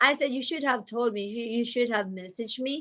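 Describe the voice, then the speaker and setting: A woman speaks with a strong Filipino accent. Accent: thick Filipino (Cebuano). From Philippines, Cebu (Cebuano/Bisaya). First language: Cebuano. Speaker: nurse and vlogger. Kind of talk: casual vlog chat. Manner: chatty, animated.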